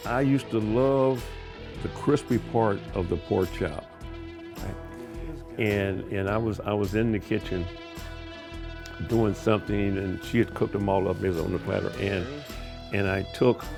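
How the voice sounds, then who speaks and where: With a Midwestern American accent, the speaker goes at a fairly slow pace with ordinary pitch variation and long, frequent pauses as music plays in the background. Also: man, fairly low pitch for a man. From Kansas City, Missouri, USA. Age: 80s+. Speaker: home cook, armed forces veteran. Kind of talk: casual storytelling while cooking.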